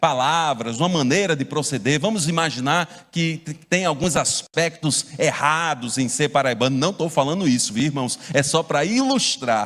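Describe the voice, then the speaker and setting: This man's voice sits at a fairly high pitch with ordinary pitch variation. He keeps a moderate pace with hardly any pauses. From Brazil, Paraíba (João Pessoa). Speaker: pastor. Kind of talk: sermon.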